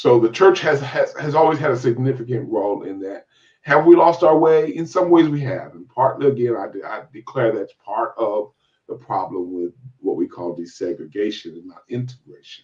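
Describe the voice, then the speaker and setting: With an American accent, a man speaks at a moderate pace, using vocal fry, very wide pitch swings and big swings in loudness. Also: fairly high pitch for a man. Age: 60s. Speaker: church elder. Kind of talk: interview. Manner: halting, many repetitions and restarts.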